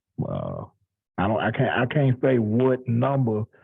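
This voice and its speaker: Here a man speaks at a fairly slow pace. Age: 30s. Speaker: gospel quartet musician and producer. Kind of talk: interview. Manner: halting.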